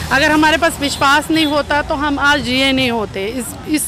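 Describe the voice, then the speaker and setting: Over music in the background, a woman speaks in a high voice. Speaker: voter. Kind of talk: street interview.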